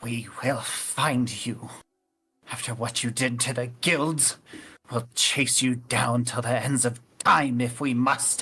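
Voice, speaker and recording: A man puts on a character voice at medium pitch, talking fairly slowly in a flat monotone. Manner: sour, angry, threatening.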